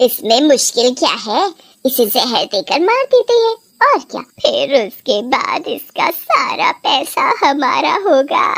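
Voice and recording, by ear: High-pitched and cartoonish, this character voice moves at a fairly slow pace with very wide pitch swings.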